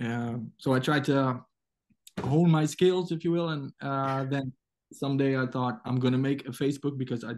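Here a man speaks with a Dutch accent at a fairly high pitch. His intonation is fairly even and his pace moderate. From Netherlands. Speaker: comic book artist. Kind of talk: casual interview. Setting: video call. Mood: warm, nostalgic. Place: home room. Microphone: video call.

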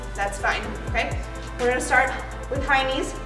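Clear music fills the background. A woman talks over it at a fairly quick pace. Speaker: fitness instructor. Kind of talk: workout class instruction. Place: gym.

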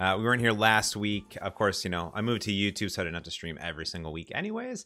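Over faint music in the background, a man with a fairly low pitch talks at a very fast pace. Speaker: software developer streamer. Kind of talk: casual livestream chat. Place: office.

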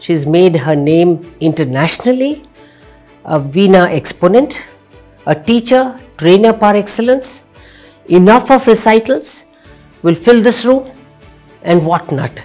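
A woman at a fairly slow pace, with long, frequent pauses and faint music in the background. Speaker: show host. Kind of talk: interview question. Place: studio.

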